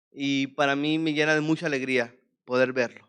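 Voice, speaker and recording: With a Venezuelan accent, a man speaks at a fairly slow pace in a monotone, flat way. His pitch is fairly high, and the background is quiet. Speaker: preacher. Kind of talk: sermon.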